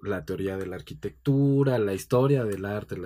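In a dark, mellow tone, a man speaks at a moderate pace with a fairly low pitch and ordinary pitch variation. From Mexico City. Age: 40s. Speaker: book editor. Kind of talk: casual interview.

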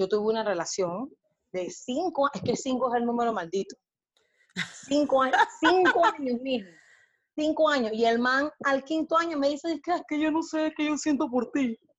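A woman speaks at a high pitch. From Panama. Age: 40s. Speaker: body positive activist and blogger. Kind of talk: casual interview chat.

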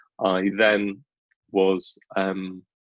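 A man speaks with a British accent. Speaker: business school recruitment manager. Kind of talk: interview. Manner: animated.

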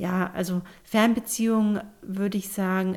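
Speaking at a very slow pace, a woman keeps a medium pitch with ordinary pitch variation. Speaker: podcast co-host. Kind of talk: casual chat.

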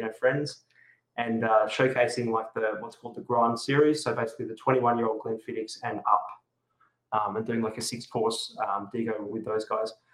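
A man speaks with an Australian accent at a medium pitch and a moderate pace. His intonation is monotone and flat. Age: 40s. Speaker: whisky and food pairing event host. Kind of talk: casual chat. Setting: video call.

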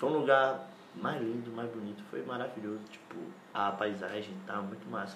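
A man speaks at a medium pitch and a moderate pace. Audible room echo and noticeable background noise surround his voice. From Bahia, Brazil. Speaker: podcast guest. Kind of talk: casual chat.

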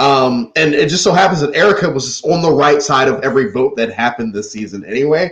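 A man's fairly high voice, somewhat breathy, with lively intonation at a fairly quick pace. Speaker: podcast host. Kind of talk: casual group discussion.

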